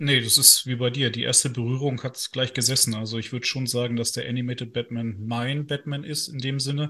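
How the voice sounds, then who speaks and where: At a fairly quick pace with hardly any pauses, a man speaks in a medium pitch with a bright, sharp tone and monotone, flat intonation. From northern Germany. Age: 30s. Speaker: lawyer and video game news writer. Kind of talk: casual interview.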